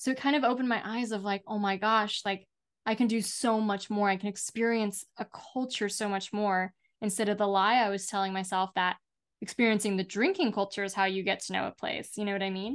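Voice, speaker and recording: A woman with a normal speaking voice talks at a fairly quick pace with a medium pitch and fairly even intonation. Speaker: alcohol-free life coach and author. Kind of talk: interview conversation.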